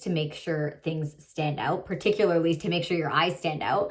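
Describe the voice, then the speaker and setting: A woman's fairly low, animated voice at a fairly quick pace amid noticeable background noise. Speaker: beauty vlogger. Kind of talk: tutorial.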